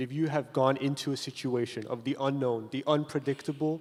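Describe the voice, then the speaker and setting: This man has a plain, everyday voice, pitched fairly high. He talks at a moderate pace with fairly even intonation. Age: young. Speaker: university student. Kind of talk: panel discussion.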